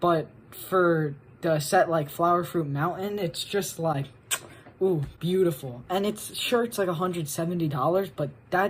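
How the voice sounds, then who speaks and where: Using an ordinary speaking voice, a woman with a fairly low pitch talks at a moderate pace with ordinary pitch variation. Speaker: guest contributor to video essay. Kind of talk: casual video segment.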